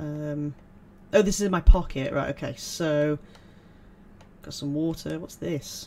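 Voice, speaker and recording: A man with a British accent talks at a fairly slow pace, his fairly high pitch held to fairly even intonation with big swings in loudness. Long, frequent pauses break up his speech over light background noise. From UK. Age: 30s. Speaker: gaming YouTuber. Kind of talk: let's play commentary. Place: home room. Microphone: headset.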